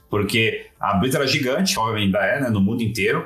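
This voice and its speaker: Lively intonation from a medium-pitched man at a very fast pace, with music in the background. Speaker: games industry communications professional. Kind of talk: casual interview. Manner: hesitant, many filler sounds.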